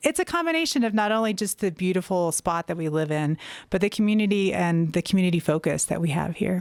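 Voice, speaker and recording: A woman at medium pitch and a very fast pace with a slight Southern US accent and ordinary pitch variation, on a very clean recording with a silent background and a dry, close sound with no echo. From US South. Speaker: nonprofit executive director. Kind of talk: interview.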